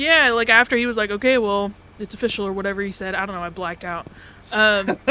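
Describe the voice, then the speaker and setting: A woman at a medium pitch, very fast pace, ordinary pitch variation and big swings in loudness, with noticeable background noise. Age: 20s. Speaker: streamer's guest co-playing a game. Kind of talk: casual chat while gaming on a livestream.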